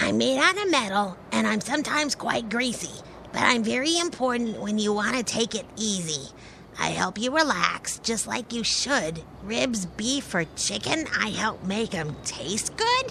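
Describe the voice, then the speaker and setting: A female-sounding, cartoonish character voice speaks at a fairly high pitch. The pace is moderate, with clear background noise behind it. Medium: puppet show. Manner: excitable.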